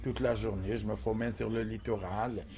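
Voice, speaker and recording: A man speaks at a fairly quick pace with a fairly low pitch and a plain, everyday voice. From Algeria, small village. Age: 60s. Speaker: transgender sex worker interviewee. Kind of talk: documentary interview testimony.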